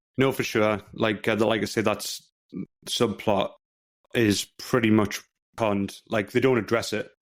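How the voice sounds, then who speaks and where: With long, frequent pauses, a man speaks fairly slowly in a monotone, flat intonation at a fairly low pitch. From northeast England, Newcastle area. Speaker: movie review podcast co-host. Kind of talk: casual podcast chat.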